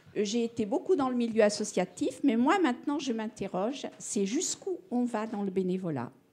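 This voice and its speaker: A woman talks with hardly any pauses, her pitch swinging very widely. Noticeable background noise runs beneath her voice. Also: fairly high pitch for a woman, moderate pace. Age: 70s. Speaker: audience member, longtime activist. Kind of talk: public debate.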